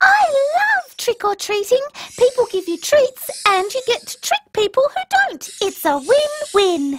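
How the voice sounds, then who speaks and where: A female-sounding voice performs a put-on character voice at an extremely high pitch. She speaks at a fairly slow pace. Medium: short film. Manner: bubbly, eager.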